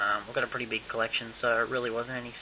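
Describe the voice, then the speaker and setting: Monotone, flat intonation from a man with an Australian accent, plus noticeable background noise. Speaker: YouTuber doing tech reviews. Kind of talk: unboxing review. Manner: casual, many fillers.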